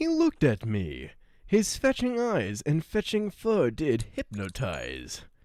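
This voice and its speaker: Heard in a very clean recording with a silent background, a put-on character voice at middle pitch moves at a fairly slow pace. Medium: role play. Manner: rhyming, sing-song.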